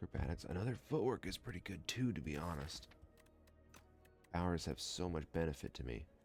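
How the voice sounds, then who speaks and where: A man with a very deep, low pitch speaks at a fairly quick pace, his pitch swinging very widely. He leaves long, frequent pauses while music plays in the background. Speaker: gaming let's play commentator. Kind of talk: casual gameplay commentary. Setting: home recording, mic not dialed in. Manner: smooth, sultry.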